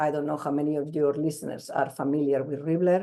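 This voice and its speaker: A woman speaks with a very deep, low pitch and a dark, mellow tone. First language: not English. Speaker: crochet doll designer. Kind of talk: interview. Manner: halting, many repetitions.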